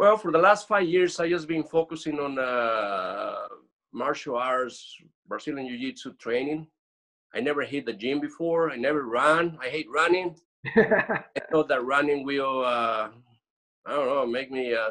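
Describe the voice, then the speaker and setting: A man's bright, sharp voice at a moderate pace, ordinary pitch variation, quiet background. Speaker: coaching program guest. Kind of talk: interview answer. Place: home room. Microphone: video call.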